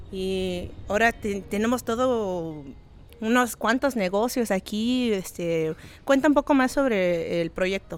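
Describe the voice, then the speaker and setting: With lively intonation and a fairly high pitch, a woman speaks at a very slow pace on a very clean recording with a silent background. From Los Angeles (Venice Beach), Oaxacan parents. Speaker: podcast host. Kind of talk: casual interview chat. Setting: on location at an organic market.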